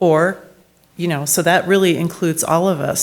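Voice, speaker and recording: The speaker goes at a moderate pace. The intonation stays fairly even. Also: woman. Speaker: family therapist. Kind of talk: talk to a parish group. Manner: casual, interactive with audience.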